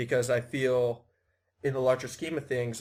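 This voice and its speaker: The man has an American accent. He talks in a monotone, flat intonation. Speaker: podcast host and organizer. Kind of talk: casual self-introduction.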